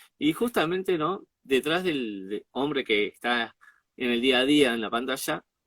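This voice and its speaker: Speaking with an Argentine accent, a man uses a medium pitch and ordinary pitch variation. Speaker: interviewer and show host. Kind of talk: interview question.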